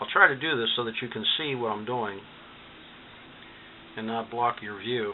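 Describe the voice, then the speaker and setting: At a moderate pace, a man speaks with a medium pitch and ordinary pitch variation. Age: 60s. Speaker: DIY electronics hobbyist. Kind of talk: tutorial. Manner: casual, hesitant with fillers.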